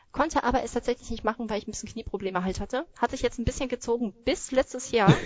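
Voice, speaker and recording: Ordinary pitch variation shapes speech delivered at a very fast pace. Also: woman. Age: 30s. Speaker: Zumba instructor. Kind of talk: casual interview.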